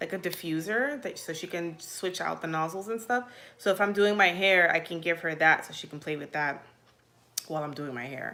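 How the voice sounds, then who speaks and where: Her voice is fairly low for a woman, bright and sharp in tone, with ordinary pitch variation and a moderate pace. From Virginia, US (military childhood, born Puerto Rico). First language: Spanish. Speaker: mom vlogger. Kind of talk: casual live Q&A. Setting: livestream. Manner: chatty, filler-heavy.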